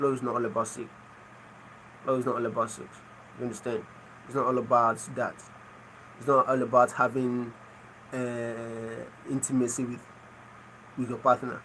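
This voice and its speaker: Long, frequent pauses break up a man's moderate-paced speech in a Nigerian accent, his medium-pitched voice showing big swings in loudness. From Nigeria (Igbo). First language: Igbo. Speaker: livestreamer. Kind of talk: casual chat. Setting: live stream.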